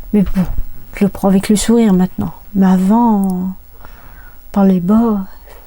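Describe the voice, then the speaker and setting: A soft-spoken woman at a medium pitch, fairly slow, with long, frequent pauses, monotone, flat intonation and very even loudness. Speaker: life coach. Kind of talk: casual vlog talk. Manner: soft-spoken, talks quietly; hesitant, many fillers.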